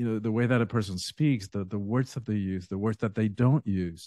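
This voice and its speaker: This man speaks at medium pitch and a moderate pace, with ordinary pitch variation. His tone is dark and mellow, and the background is quiet. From Cuba, raised in Miami. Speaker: spiritual teacher and author. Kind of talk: interview conversation.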